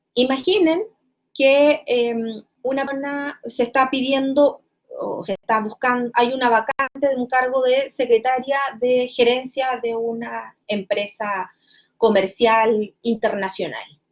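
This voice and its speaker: Her voice is high-pitched with ordinary pitch variation. The woman speaks at a very slow pace. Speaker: law lecturer. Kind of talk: lecture. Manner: hesitant with fillers.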